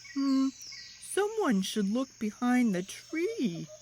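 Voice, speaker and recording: A put-on character voice speaks at a high pitch with very wide swings. The pace is very slow, and background noise is clear. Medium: read story.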